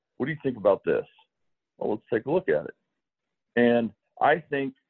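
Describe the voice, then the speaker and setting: Speaking at a moderate pace, a man talks. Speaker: baseball pitching coach. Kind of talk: interview chat.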